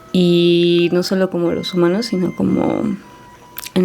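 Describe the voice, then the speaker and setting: Over music in the background, a woman with a fairly low pitch talks at a moderate pace. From Mexico, Puebla. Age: 20s. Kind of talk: interview testimony.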